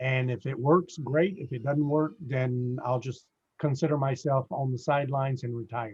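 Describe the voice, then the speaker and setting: A man's somewhat breathy voice moves at a moderate pace. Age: 60s. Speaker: real estate investor. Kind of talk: casual interview. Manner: hesitant, many fillers.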